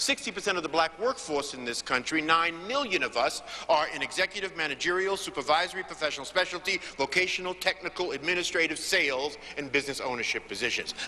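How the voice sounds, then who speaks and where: A man with an American accent talks at a very fast pace in a high pitch, his intonation lively. Noticeable background noise sits behind him. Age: 60s. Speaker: motivational speaker on business networking. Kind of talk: panel speech. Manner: emphatic oratory.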